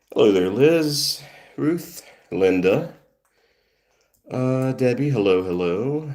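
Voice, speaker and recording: Long, frequent pauses break up a man's very slow speech, his medium-pitched voice making very wide pitch swings. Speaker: cat rescue livestreamer. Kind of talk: casual livestream chat.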